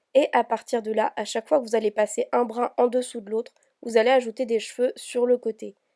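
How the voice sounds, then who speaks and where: Flat and monotone, a dark, mellow tone moves at a fairly quick pace in a dry, close sound with no echo. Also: woman. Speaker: hair tutorial youtuber. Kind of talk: tutorial voice-over.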